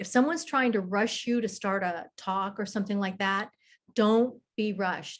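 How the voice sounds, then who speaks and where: Quiet background, moderate pace, ordinary pitch variation from a woman. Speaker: professional women's group host. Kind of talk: talk to a meeting on leadership.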